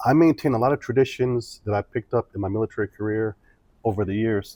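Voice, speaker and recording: A man's fairly low-pitched voice in a Midwestern accent, at a fairly quick pace. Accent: American Midwest. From US Midwest, Joliet, Illinois. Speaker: former military diplomat, entrepreneur. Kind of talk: interview conversation.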